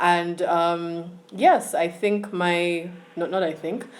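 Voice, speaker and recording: A woman talks in a fairly low pitch. Noticeable background noise and audible room echo surround her. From Uganda. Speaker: student giving a talk on mental health. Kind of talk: online talk / presentation.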